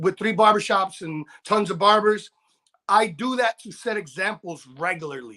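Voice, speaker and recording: A man's raised, projected voice, high in pitch, animated, bright and sharp, at a moderate pace with ordinary pitch variation and big swings in loudness. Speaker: barber and motivational speaker. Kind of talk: casual chat. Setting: live stream interview.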